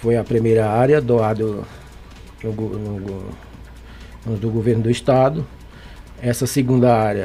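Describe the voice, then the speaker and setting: A man speaks at medium pitch and a fairly slow pace with fairly even intonation. There are long, frequent pauses and noticeable background noise. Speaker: clay artisan. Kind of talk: radio interview.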